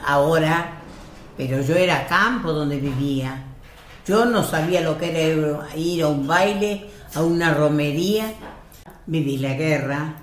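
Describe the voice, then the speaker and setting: Over noticeable background noise and audible room echo, a woman with a very deep, low pitch speaks at a very slow pace, with ordinary pitch variation and long, frequent pauses. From Spain, Galicia (Lugo), emigrated to Argentina at 14. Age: 80s+. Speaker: elderly immigrant relative. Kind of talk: family interview, life story.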